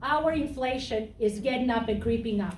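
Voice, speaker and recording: A woman talks at a moderate pace with a fairly high pitch and ordinary pitch variation. Audible room echo surrounds her voice. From Serbia. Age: 50s. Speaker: political candidate. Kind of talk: campaign speech. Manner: blunt.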